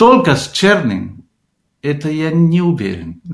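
Speaking in a Spanish accent, a man uses a fairly high pitch. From Argentina. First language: Spanish (speaking Russian). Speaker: composer and music teacher. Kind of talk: radio interview. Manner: halting.

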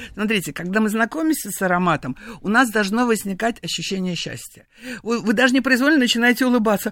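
This woman talks at a very fast pace with a fairly high pitch. Her intonation is lively. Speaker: perfumer. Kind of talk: radio interview. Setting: studio. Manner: animated.

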